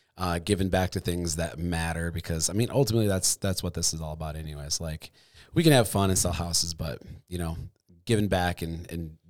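A man with a Midwestern US accent talks at a very fast pace in a very deep, low pitch, with ordinary pitch variation. The recording is very clean, with a silent background. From Michigan. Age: 30s. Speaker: podcast host. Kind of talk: casual chat. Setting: studio.

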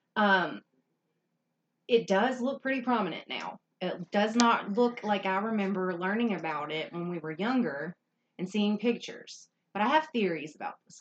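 With a normal speaking voice, a woman at medium pitch talks at a moderate pace, her intonation lively and her loudness swinging widely. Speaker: podcast co-host. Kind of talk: casual chat.

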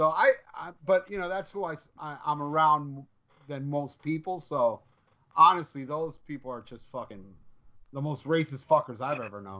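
Big swings in loudness mark a man speaking with an American accent. He keeps a moderate pace with long, frequent pauses. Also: ordinary pitch variation. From Hialeah, Florida. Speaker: musician. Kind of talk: casual chat. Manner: talkative, animated.

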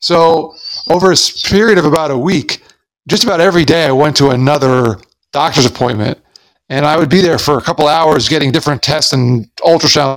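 A man speaks quite quickly in an ordinary speaking voice, fairly high in pitch, with ordinary pitch variation and very even loudness. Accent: American. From US, Long Island, New York. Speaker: motivational speaker. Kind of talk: interview.

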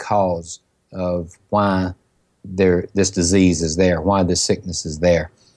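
In a Southern US accent, a man with a very deep, low voice speaks in a monotone, flat way against a quiet background. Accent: Southern US, country. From Mississippi, US South. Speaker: pharmacist. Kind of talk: interview. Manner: soft-spoken; emotional, passionate.

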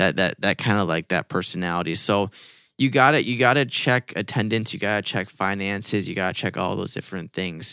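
A loud, bright and sharp-toned man at a fairly quick pace, with ordinary pitch variation, in a very clean recording with a silent background and a dry, close sound with no echo. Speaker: youth pastor podcast co-host. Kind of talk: casual conversational podcast chat. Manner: loud, high-energy.

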